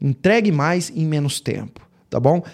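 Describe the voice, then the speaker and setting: In a very clean recording with a silent background, a man with a dark, mellow tone speaks at a fairly slow pace with lively intonation. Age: 30s. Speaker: podcast host, medical marketing consultant. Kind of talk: solo lecture.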